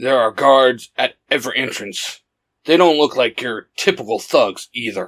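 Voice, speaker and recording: Using a put-on character voice, a man speaks raspy at a medium pitch and moderate pace, with a dry, close sound and no echo. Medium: read story. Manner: low, terse, commanding.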